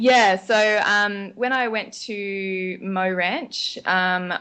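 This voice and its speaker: Against a quiet background, a woman with an Australian accent has a bright, sharp tone and fairly even intonation. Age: 30s. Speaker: nutritionist and teacher. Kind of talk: podcast interview. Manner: casual, frequent um fillers.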